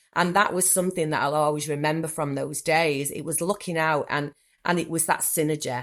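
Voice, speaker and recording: A woman talks in a Manchester accent at a fairly quick pace. Her very deep, low pitch holds fairly even intonation. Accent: typical Manchester. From northern England, Manchester. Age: 40s. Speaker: therapist. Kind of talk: podcast interview.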